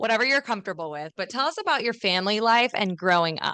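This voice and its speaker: Bright and sharp in tone, a woman speaks with lively intonation in a dry, close sound with no echo and a quiet background. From US Midwest, Chicago. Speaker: podcast host. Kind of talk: podcast interview.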